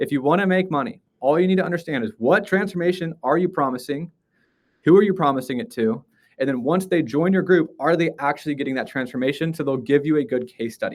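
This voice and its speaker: A man's fairly high-pitched voice at a very fast pace. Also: ordinary pitch variation. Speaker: live stream teacher. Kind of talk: live stream tutorial. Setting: live stream.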